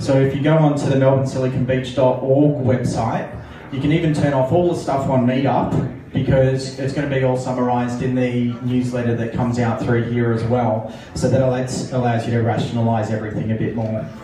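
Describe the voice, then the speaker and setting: A man's flat, monotone voice comes through audible room echo and light background noise. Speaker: meetup marketing organizer. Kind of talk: event announcements. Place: bar. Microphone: pa.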